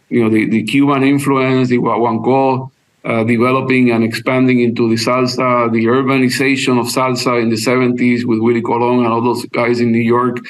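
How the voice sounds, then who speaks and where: A man's medium-pitched voice at a fairly quick pace, flat and monotone, very even in loudness, with hardly any pauses and audible room echo. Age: 60s. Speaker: attorney. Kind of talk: podcast interview, casual chat. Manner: halting, many repetitions.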